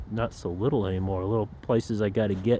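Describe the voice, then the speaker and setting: The speaker is a man with a fairly low pitch. His pitch variation is ordinary. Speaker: camping and hammock vlogger. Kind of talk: casual vlog monologue. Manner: rambling, halting with fillers.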